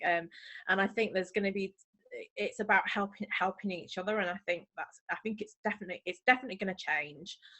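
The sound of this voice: Speaking fast, a woman uses a medium pitch, ordinary pitch variation and a bright, sharp tone.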